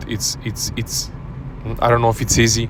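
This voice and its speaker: Music plays in the background as a man with a non-native accent speaks at a moderate pace. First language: not English. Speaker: self-help coach. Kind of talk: casual talk to camera. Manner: halting, many repetitions and fillers.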